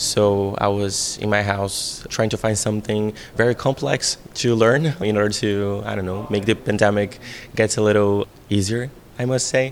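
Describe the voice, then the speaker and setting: A man's fairly low voice in a Portuguese accent, fairly even in intonation, at a moderate pace. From Brazil. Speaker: VR director and screenwriter. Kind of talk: interview. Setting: festival venue.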